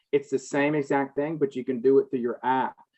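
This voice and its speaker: In a Southern US accent, a man speaks with a fairly high pitch. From US South. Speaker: healthcare and cannabis business consultant. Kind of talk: panel discussion.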